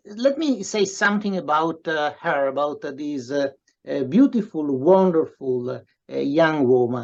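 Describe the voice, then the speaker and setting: Lively in intonation, a man talks at a very slow pace. His voice is fairly high, with an Italian accent. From Italy. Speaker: professor and writer. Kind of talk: interview introduction. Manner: halting, many fillers.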